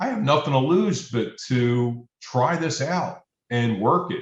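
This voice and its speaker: Lively in intonation, a man speaks at a medium pitch in a somewhat breathy voice. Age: 60s. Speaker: client sharing back pain success story. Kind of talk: interview testimony. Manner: halting, many repeated words.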